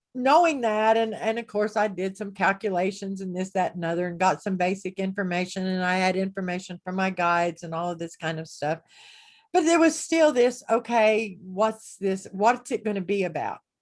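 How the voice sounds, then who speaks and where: This unremarkable speaking voice moves at a moderate pace with ordinary pitch variation over a quiet background. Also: woman, medium pitch for a woman. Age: 60s. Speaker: spiritual teacher. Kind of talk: online group talk. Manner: casual, conversational with fillers.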